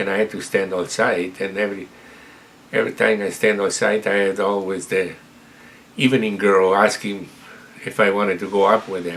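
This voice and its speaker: A man speaks at a moderate pace in a fairly low, flat monotone, with long, frequent pauses and noticeable background noise. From Italy, Montebelluna (Veneto). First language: Italian. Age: 70s. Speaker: retired immigrant telling life story. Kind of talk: personal storytelling interview. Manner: halting, with repetitions.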